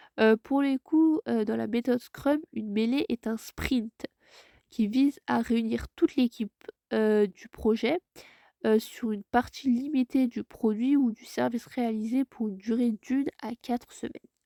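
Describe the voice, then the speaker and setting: Dark, mellow tone at a fairly slow pace, with ordinary pitch variation and a dry, close sound with no echo. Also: woman, fairly high pitch for a woman. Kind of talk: tutorial. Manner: hesitant, many filler sounds.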